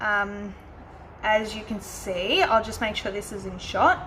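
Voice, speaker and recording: Over noticeable background noise, a woman speaks fairly slowly with an Australian accent. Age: 20s. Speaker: planner YouTuber. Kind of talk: casual talk to camera.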